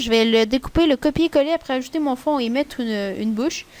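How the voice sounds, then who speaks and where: A woman speaks in a high voice at a moderate pace, with ordinary pitch variation. The sound is dry and close, with no echo. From Quebec. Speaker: YouTuber, Minecraft tutorial maker. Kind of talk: tutorial. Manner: casual, hesitant with fillers.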